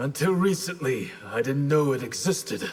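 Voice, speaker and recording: A man's put-on character voice, fairly high in pitch, with lively intonation at a moderate pace. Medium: machinima. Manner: calm, solemn, measured.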